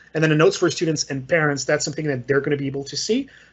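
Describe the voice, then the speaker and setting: A man with a Quebec accent sounds somewhat breathy, his intonation fairly even. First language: French. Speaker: software trainer. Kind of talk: tutorial. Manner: casual, hesitant with fillers.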